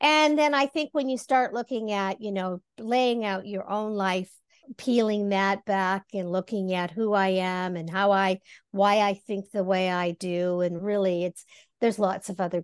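A woman speaks fairly slowly at a medium pitch with ordinary pitch variation in a normal speaking voice, over a quiet background. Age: 60s. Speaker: life coach. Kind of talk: interview.

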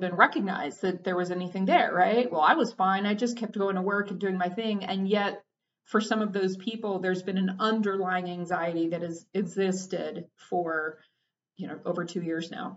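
With an American accent, a woman speaks at a medium pitch and a moderate pace, her pitch varying in an ordinary way. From Texas. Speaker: therapist and podcast host. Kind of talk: personal reflective monologue. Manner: halting, with frequent fillers and restarts.

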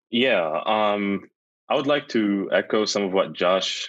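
A man with an unremarkable speaking voice talks at a fairly slow pace against a quiet background. His pitch is fairly low, with ordinary variation. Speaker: college student. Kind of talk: panel discussion.

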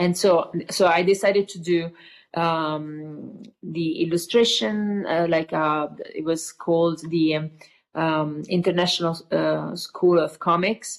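A woman with an Italian accent, fairly low in pitch, very slow, with fairly even intonation over a quiet background. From Italy, Tuscany. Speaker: painter. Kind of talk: interview. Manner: halting.

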